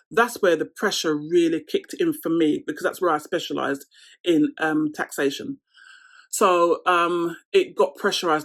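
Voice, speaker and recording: Lively intonation marks a woman's fairly low voice with a London accent. The recording is very clean, the background silent. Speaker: lifestyle vlogger. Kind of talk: casual Q&A chat to camera.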